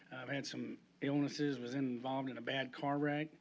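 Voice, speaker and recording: This man speaks with a Texan accent at a fairly quick pace, his pitch fairly high. His intonation is monotone and flat, on a very clean recording with a silent background. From Pasadena, Texas (Houston area). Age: 60s. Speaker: resident speaking at public comment. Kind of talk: public comment at council meeting. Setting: city council chamber. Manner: halting, with fillers.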